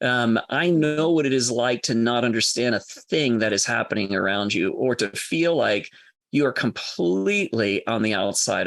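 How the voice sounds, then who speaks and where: Against a quiet background, a man talks at a moderate pace and medium pitch with lively intonation. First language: French. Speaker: enneagram coach and former minister. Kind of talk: podcast interview conversation.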